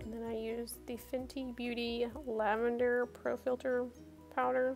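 Over music in the background, a woman speaks at a fairly slow pace in a high pitch with monotone, flat intonation. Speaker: beauty vlogger. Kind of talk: casual makeup tutorial voiceover.

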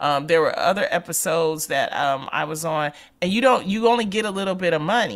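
A woman speaks in a plain, everyday voice at a fairly quick pace. The recording is very clean, with a silent background. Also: fairly low pitch for a woman, lively intonation. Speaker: radio host. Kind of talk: casual chat.

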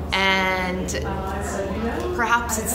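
A woman is heard over loud background noise. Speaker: poet. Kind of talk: interview answer. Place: home room. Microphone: lapel.

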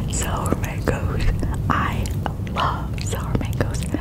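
A woman talks very slowly against loud background noise. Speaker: ASMR creator. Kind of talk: ASMR eating video with light whispers. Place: home room. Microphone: studio mic.

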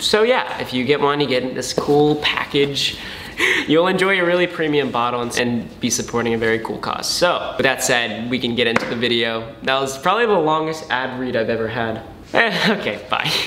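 There is noticeable background noise in this clip. Over it, a man talks at a moderate pace, his pitch varying in an ordinary way. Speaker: vlogger doing sponsor read. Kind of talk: ad read in casual vlog. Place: home room. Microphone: camera far.

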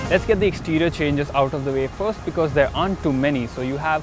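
Over music in the background, a man speaks with ordinary pitch variation in a dry sound with no echo. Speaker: motorcycle reviewer. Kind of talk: product review presentation. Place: open country.

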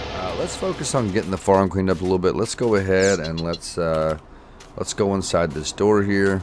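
With music in the background, a man with a very deep, low voice talks at a fairly quick pace. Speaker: gaming YouTuber. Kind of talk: casual gameplay commentary. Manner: animated, enthusiastic.

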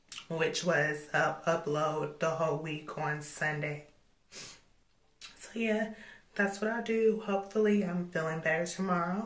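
A somewhat breathy woman's voice, fairly low in pitch, with ordinary pitch variation, a fairly slow pace and audible room echo. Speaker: vlogger. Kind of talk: vlog. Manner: casual.

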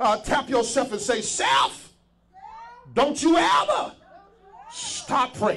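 Shouting in an extremely high pitch, a man sounds animated, his pitch swinging very widely. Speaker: preacher. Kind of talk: sermon. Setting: church. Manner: call-and-response, urging the congregation to shout back. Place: church. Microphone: handheld.

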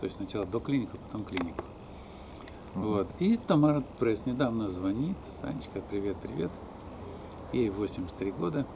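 Over noticeable background noise, a man with a fairly low pitch speaks at a moderate pace with lively intonation and long, frequent pauses. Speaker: alternative health practitioner and academic; interviewee. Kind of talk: life story interview; interview answer. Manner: halting, with many fillers. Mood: relaxed, reminiscing, sometimes smiling. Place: garden. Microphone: phone near.

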